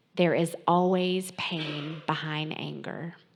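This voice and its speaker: A woman's fairly low, flat and monotone voice in a Southern accent, on a very clean recording with a silent background. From North Carolina. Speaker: author and former chaplain. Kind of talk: talk to church audience. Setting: church fellowship hall with audience. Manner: casual, folksy.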